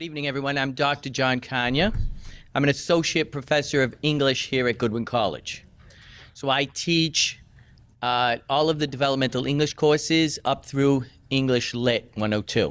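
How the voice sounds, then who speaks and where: A man talks at a fairly slow pace with fairly even intonation and a fairly high pitch. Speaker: English professor. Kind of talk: orientation presentation.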